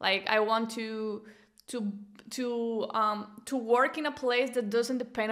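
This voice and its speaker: In a Venezuelan accent, a woman with a fairly high pitch speaks at a fairly slow pace with fairly even intonation. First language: Spanish. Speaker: business coach and entrepreneur. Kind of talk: interview. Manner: halting, frequent repetitions.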